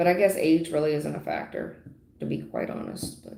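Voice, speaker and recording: A woman's moderately paced speech comes with audible room echo. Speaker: tarot reader. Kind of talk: live stream tarot reading. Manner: loud.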